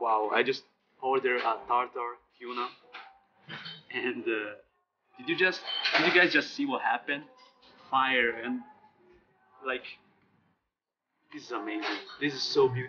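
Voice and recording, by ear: The voice has a bright, sharp tone with a slightly husky edge, moving at a fairly slow pace with long, frequent pauses. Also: man, medium pitch for a man, ordinary pitch variation.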